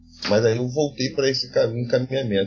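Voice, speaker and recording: A man's medium-pitched voice over background music. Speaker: philosophy professor. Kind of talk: interview. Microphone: poor recording quality.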